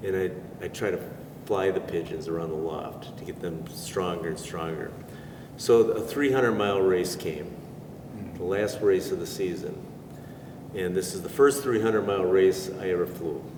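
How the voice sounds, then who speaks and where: With an American accent and a very deep, low pitch, a man talks at a moderate pace with long, frequent pauses, amid noticeable background noise and audible room echo. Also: ordinary pitch variation. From US Midwest, Racine, Wisconsin. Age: 70s. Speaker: pigeon racer. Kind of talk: interview storytelling. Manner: halting.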